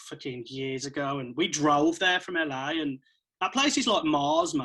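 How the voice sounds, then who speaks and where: A man with an English Midlands accent speaks at a moderate pace in a bright, sharp tone, his fairly high pitch showing ordinary variation. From central England. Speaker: electronic music producer and DJ. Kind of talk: casual chat.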